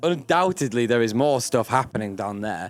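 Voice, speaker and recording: A man talks at a moderate pace. He has a strong northern English accent. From Yorkshire, northern England. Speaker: actor. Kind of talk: casual interview. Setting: live event recording.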